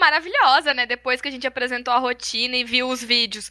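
A woman raises and projects her voice at a high pitch. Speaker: former cheerleading captain. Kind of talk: casual chat.

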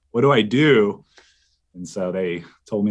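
A man speaks in a normal speaking voice, fairly low in pitch with ordinary pitch variation. The background is quiet. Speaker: former college radio DJ and program director. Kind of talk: casual interview chat.

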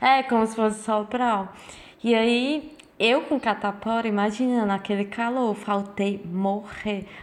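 A woman with an unremarkable speaking voice talks at a fairly slow pace, her fairly high pitch held in a fairly even intonation. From Brazil. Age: 20s. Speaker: podcast co-host. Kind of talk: casual chat.

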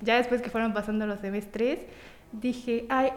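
With noticeable background noise behind her, a woman with a fairly high pitch speaks in a monotone, flat intonation. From Mexico, Tampico, Tamaulipas. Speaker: small business owner, baker. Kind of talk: interview.

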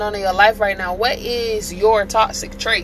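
A woman's fairly high voice, fairly slow and fairly even in intonation, over noticeable background noise. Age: 30s. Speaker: podcast host. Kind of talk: casual monologue.

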